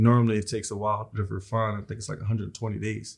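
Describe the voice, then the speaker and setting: The speech is very fast, somewhat breathy and in an American accent. Its intonation is monotone and flat. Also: man. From South Philadelphia. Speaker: entrepreneur, tow truck and recycling business owner. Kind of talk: casual interview.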